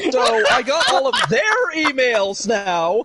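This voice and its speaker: A man's raised, projected voice at an extremely high pitch and a very slow pace, with noticeable background noise. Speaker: live streamer. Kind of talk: casual chat. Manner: loud; animated.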